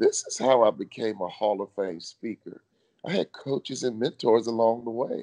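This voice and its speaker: In a dark, mellow tone, a man with an American accent speaks at a moderate pace and medium pitch with ordinary variation, the sound dry and close with no echo. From Chicago, US. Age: 50s. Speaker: motivational speaker, former pro basketball player. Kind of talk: interview. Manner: animated.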